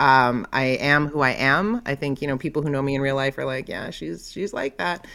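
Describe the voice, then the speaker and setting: Bright and sharp in tone, a woman with a Canadian accent talks at a moderate pace with hardly any pauses, her very deep, low pitch carrying lively intonation. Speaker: content creator. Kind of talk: casual chat. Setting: video call.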